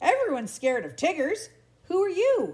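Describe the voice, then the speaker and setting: A woman's squeaky, put-on character voice at an extremely high pitch, with very wide pitch swings and a fairly quick pace. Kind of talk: bedtime story. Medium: read story. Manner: exuberant, boastful.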